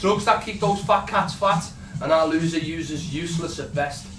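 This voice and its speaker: Music plays behind a man whose voice is high-pitched. His tone is angry. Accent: Liverpool. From Liverpool, England. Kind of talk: spoken word poetry performance. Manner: angry, impassioned.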